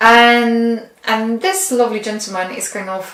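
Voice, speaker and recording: A woman with a non-native accent speaks at a moderate pace in a fairly high pitch, with ordinary pitch variation. Audible room echo and noticeable background noise are present. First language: not English. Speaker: tarot reader. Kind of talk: tarot reading. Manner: halting.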